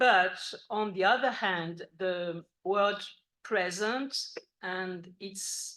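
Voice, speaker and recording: A woman with a French accent speaks at a medium pitch with a bright, sharp tone. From France. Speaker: philosophy professor. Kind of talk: academic lecture. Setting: university conference with audience. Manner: formal.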